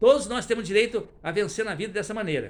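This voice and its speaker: Ordinary pitch variation in a man's high voice. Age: 70s. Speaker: retired teacher. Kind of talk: testimony.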